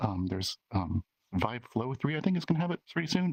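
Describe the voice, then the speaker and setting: A soft-spoken man talks at a fairly quick pace with lively intonation. The sound is dry and close, with no echo. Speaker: VR avatar creator. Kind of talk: community meetup presentation. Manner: halting, many fillers.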